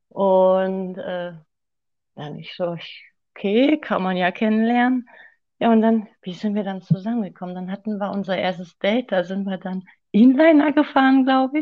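At a moderate pace, a woman of medium pitch speaks with lively intonation, long and frequent pauses, and big shifts in loudness. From Sauerland, Germany. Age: 30s. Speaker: guest, host's ex-girlfriend. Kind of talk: personal testimony.

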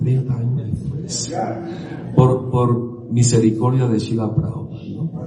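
Over noticeable background noise, a man talks at a fairly slow pace in a medium pitch. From Syria and Lebanon, then Venezuela. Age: 70s. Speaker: Hare Krishna devotee and speaker. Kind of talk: talk to a temple gathering. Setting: temple with audience.

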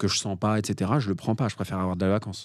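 A man's fairly low voice at a moderate pace, on a very clean recording with a silent background. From Paris, France. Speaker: parking investor and author. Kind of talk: podcast interview.

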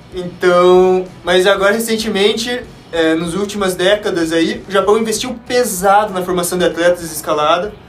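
Man with a high pitch, moderate pace and hardly any pauses, amid noticeable background noise and audible room echo. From Curitiba, Paraná, southern Brazil. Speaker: sport climber, former scout. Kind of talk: casual podcast chat.

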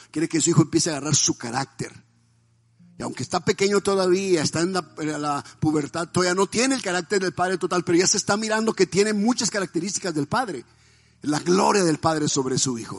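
This man's voice sits high, and he talks very fast with ordinary pitch variation. The sound is dry and close with no echo, and music plays in the background. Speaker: pastor. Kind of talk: sermon.

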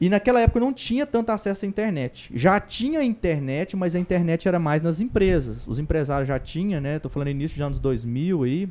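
With hardly any pauses, a man talks at a fairly quick pace in a dark, mellow tone, his high-pitched voice making very wide pitch swings. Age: 30s. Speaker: evangelist. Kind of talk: casual interview.

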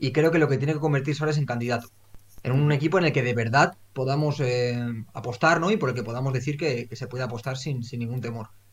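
A somewhat breathy man at a very fast pace, medium in pitch with ordinary pitch variation. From Valencia region, Spain. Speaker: football podcast host. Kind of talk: casual chat.

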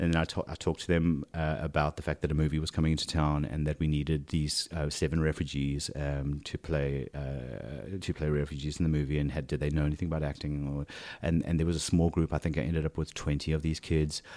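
The delivery is very fast with hardly any pauses. Intonation stays monotone and flat. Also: man, very deep, low pitch for a man. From South Africa. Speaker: casting director. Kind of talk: casual interview conversation. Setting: home living room. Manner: halting, many repetitions and fillers.

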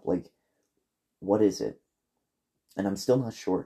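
The background is quiet. A man talks in a fairly low pitch with a dark, mellow tone. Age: 30s. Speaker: podcast host and movie reviewer. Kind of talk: solo movie review monologue.

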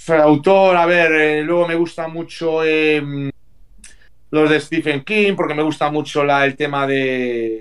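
A man speaks at a very slow pace with a fairly high pitch. His intonation is fairly even and his loudness very even. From Vigo, Galicia, Spain. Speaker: retired professional footballer. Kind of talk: interview.

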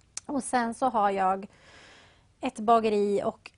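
Her pitch fairly high, a woman speaks at a very slow pace with ordinary pitch variation. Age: young. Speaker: café and bakery owner. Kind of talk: interview.

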